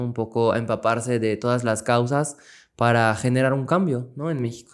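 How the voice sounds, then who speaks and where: With a French accent, a man talks at a moderate pace. His pitch is medium and his intonation fairly even. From France. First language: French (speaking Spanish). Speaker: political scientist and activist. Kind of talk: casual interview.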